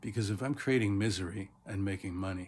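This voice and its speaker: A man speaks with a fairly low pitch and a somewhat breathy voice. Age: 60s. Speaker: teacher. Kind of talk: casual motivational talk.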